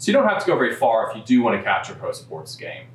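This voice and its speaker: This man speaks with a Kentucky accent and ordinary pitch variation. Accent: local Louisville pronunciation. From Louisville, Kentucky. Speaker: real estate broker. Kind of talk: informational talk to camera.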